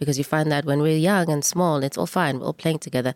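Speaking very fast with fairly even intonation, a woman uses a very deep, low voice in a dry, close recording with no echo. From South Africa, former Bantustan (Eastern Cape). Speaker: filmmaker. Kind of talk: interview.

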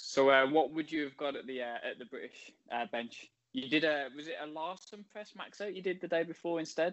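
With ordinary pitch variation and a fairly quick pace, this is a plain, everyday voice. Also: man, fairly high pitch for a man. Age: 30s. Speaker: podcast host and lifter. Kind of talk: interview.

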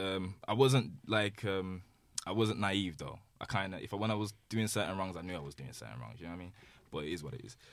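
Talking at a very fast pace, a man uses a very deep, low pitch with vocal fry and lively intonation. His volume rises and falls sharply. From Birmingham, England. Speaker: rapper and music producer. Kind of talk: casual chat.

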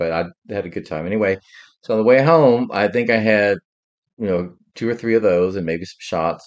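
A man's unremarkable speaking voice, fairly low in pitch and fairly quick, against a quiet background. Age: 60s. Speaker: podcast co-host. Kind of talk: casual chat.

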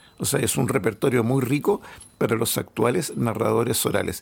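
A man with a Chilean accent over noticeable background noise. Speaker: author and collector. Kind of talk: casual interview. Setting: at home.

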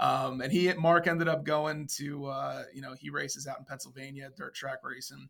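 A man with an American accent and an ordinary speaking voice talks at a moderate pace with hardly any pauses, using a fairly high pitch and fairly even intonation while his loudness swings widely. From Central New Jersey. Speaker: sim racing driver. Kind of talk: interview.

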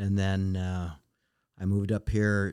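This man has a very deep, low pitch, a dark, mellow tone and an American accent. The recording is very clean, with a silent background. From Western Montana. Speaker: retired restaurant owner. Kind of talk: casual interview.

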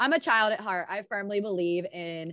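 An American accent marks this woman's speech, which has ordinary pitch variation. She talks at a fairly slow pace over a quiet background. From US Midwest, Indiana. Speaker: podcast co-host. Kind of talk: casual chat.

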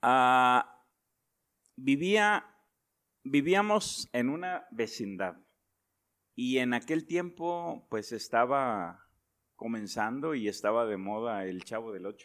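At a very slow pace with long, frequent pauses, a man of medium pitch makes very wide pitch swings on a very clean recording with a silent background. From northern Mexico (Nuevo León, raised in Reynosa, Tamaulipas). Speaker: pastor. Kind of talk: interview.

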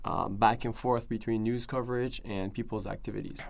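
Speaking at a moderate pace, a man with a Persian accent has a fairly low pitch. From Iran, Tehran. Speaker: activist organizer. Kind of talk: interview. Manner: halting.

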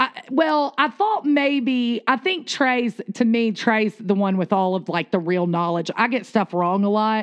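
In a Southern US accent, a woman speaks fairly slowly at a fairly high pitch with lively intonation. Her loudness stays very even and she hardly pauses at all. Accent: Southern American. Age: 40s. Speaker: podcast co-host. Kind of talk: casual chat.

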